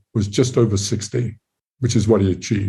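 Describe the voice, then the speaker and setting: A man with a fairly low voice and a dark, mellow tone. His intonation stays fairly even, and he sounds somewhat breathy. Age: 80s+. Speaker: physicist and author. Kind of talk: interview. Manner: halting, many fillers.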